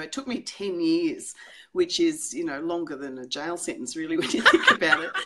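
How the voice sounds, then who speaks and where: A woman speaks in an Australian accent at a moderate pace. Her loudness swings widely. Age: 60s. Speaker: psychologist. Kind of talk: interview. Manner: hesitant, many fillers.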